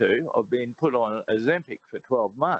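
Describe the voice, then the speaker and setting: His delivery is fairly slow and unhurried. The man's intonation rises and falls in a lively way. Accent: Australian. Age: 60s. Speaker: radio caller. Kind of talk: call-in question.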